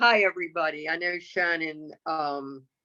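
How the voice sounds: A woman speaks at a moderate pace in a low voice with a bright, sharp tone and ordinary pitch variation.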